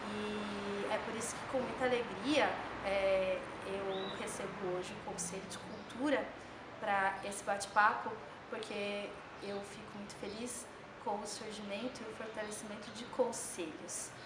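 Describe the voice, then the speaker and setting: Speaking at a fairly slow pace, a woman with a medium pitch and fairly even intonation shows big swings in loudness, with audible room echo and noticeable background noise. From São Paulo state, Brazil. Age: 30s. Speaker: mayoral candidate. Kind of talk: interview. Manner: frequent hesitation fillers.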